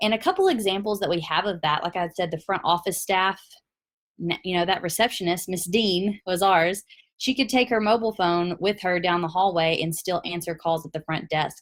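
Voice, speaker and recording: A woman's medium-pitched voice in a Tennessee accent, with ordinary pitch variation and a fairly quick pace. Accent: Southern US, Tennessee. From US South, Tennessee. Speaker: product presenter. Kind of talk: webinar presentation.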